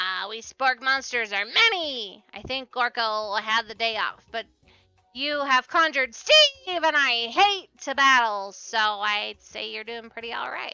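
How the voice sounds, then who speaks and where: Over faint background music, a woman puts on a character voice with a fairly high pitch and a fairly slow pace. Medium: game stream. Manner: chatty, friendly.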